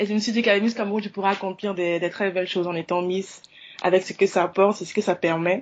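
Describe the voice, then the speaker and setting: Here a woman speaks at a very fast pace. Her medium-pitched voice keeps a fairly even intonation. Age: 20s. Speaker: beauty pageant contestant. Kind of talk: radio interview.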